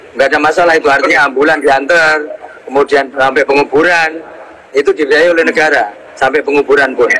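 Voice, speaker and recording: Noticeable background noise sits behind a man talking very fast at a fairly high pitch. His intonation is fairly even and his loudness very even. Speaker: army officer. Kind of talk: online live discussion. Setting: Instagram live video call. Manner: halting, formal.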